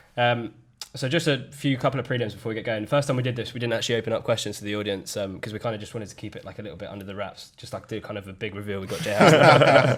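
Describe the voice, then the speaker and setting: A very fast-talking man with ordinary pitch variation, over noticeable background noise. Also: medium pitch for a man, big swings in loudness. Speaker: podcast host. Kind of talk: casual chat. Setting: studio.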